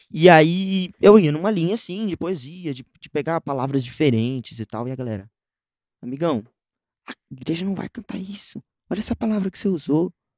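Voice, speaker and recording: A man with a high pitch speaks with lively intonation and big swings in loudness, in a dry, close sound with no echo. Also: moderate pace. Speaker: musician and music producer. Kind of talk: casual interview chat.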